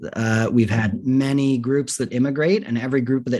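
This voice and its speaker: The background is quiet as a man speaks at a fairly quick pace. His intonation stays fairly even. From US West Coast, Los Angeles. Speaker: filmmaker. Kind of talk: interview. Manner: thoughtful.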